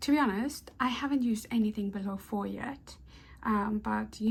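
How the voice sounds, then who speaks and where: A woman speaks at a moderate pace, somewhat breathy, with fairly even intonation. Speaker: crochet YouTuber. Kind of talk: product review and unboxing. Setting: at home in apartment. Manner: casual, hesitant with fillers; whispering, soft-spoken.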